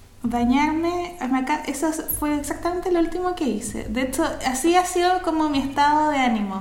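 A woman with a high voice and ordinary pitch variation talks at a fairly quick pace with hardly any pauses, amid audible room echo and noticeable background noise. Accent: Chilean. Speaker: podcast co-host. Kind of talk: casual chat. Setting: remote recording.

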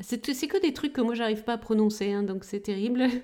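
On a very clean recording with a silent background, a woman speaks at a fairly high pitch with ordinary pitch variation. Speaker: pharmacist, podcast co-host. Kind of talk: casual explanatory chat.

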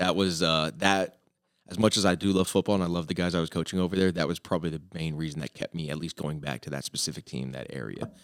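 A man with an American accent speaks at a very fast pace. His intonation is fairly even, and the sound is dry and close with no echo. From US South, southwest Florida (Fort Myers). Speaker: football coach. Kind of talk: casual chat. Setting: studio. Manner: loud.

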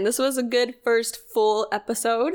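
A woman talks in an unremarkable speaking voice, fairly high in pitch and varying it in an ordinary way. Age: 20s. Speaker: podcast co-host. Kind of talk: casual chat.

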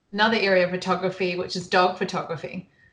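A woman speaks with a New Zealand accent. Her pitch sits in the medium range. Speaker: photographer. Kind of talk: casual interview chat.

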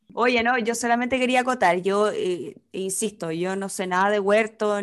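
A woman in a Chilean accent, medium-pitched, with lively intonation at a fairly slow pace. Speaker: podcast co-host. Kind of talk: casual chat.

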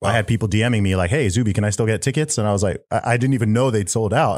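A man talks at a very fast pace with a fairly low pitch and ordinary pitch variation. The recording is very clean, with a silent background. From England and Saudi Arabia. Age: 30s. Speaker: rapper and podcaster. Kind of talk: casual interview chat.

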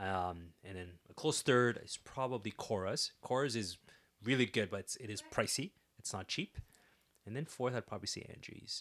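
A man with a Canadian accent, medium pitch, ordinary pitch variation and a plain, everyday voice. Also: moderate pace. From Ottawa, Canada. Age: 30s. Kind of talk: interview. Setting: studio.

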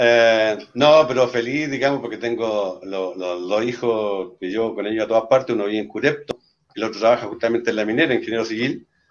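This is an unremarkable speaking voice from a man with a medium pitch and ordinary pitch variation. He talks at a fairly quick pace with hardly any pauses. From Chile, Talca. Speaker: regional party leader. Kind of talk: casual chat.

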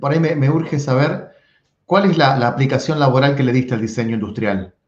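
Lively intonation runs through a voice that is somewhat breathy. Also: man. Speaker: podcast host. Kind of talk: casual interview chat.

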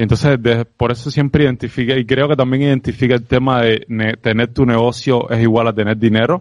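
In a normal speaking voice, a man talks at a fairly quick pace and medium pitch, with fairly even intonation and very even loudness. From Cuba. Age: 30s. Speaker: entrepreneur and sales expert. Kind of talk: interview conversation.

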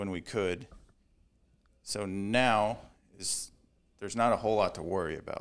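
With long, frequent pauses, a man speaks at a moderate pace in a fairly low pitch and fairly even intonation, on a very clean recording with a silent background. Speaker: powerlifting coach. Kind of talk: casual chat.

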